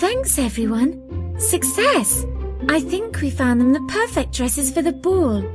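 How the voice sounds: With clear music in the background, a woman does a put-on character voice at a high pitch, slowly, with big pitch swings.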